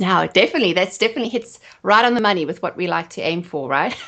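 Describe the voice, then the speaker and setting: Speaking with a South African accent, a woman uses lively intonation and a bright, sharp tone at a medium pitch. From South Africa, Johannesburg. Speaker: photographer and marketing expert. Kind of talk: podcast interview.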